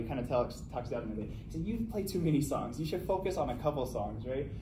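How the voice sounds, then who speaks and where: A man speaks very fast at a fairly high pitch, his voice swinging very widely up and down over noticeable background noise. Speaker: collegiate taiko player. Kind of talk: farewell speech at a banquet. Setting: live event hall. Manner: casual, hesitant, conversational.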